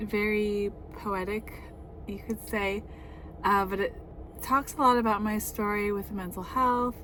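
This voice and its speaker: Noticeable background noise sits under a woman whose intonation stays fairly even. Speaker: author reading own memoir. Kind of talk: reading aloud; casual chat. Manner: halting.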